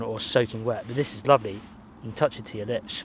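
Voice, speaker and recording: A man in a Somerset accent, at a fairly quick pace with fairly even intonation. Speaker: bushcraft and camping vlogger. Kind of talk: solo outdoor vlog narration. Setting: outdoors in a forest. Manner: casual, conversational.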